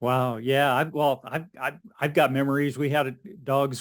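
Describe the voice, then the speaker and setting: Against a silent background in a very clean recording, a man with a normal speaking voice talks at medium pitch and a moderate pace. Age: 60s. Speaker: podcast host. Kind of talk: interview.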